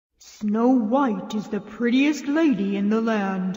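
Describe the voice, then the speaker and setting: With a slight echo, a woman puts on a character voice at a fairly high pitch. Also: fairly slow pace. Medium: read story.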